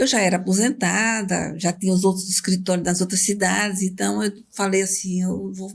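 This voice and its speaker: A woman's somewhat breathy voice at medium pitch and a moderate pace. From Alagoas, northeastern Brazil. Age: 70s. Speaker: lawyer. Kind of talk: interview.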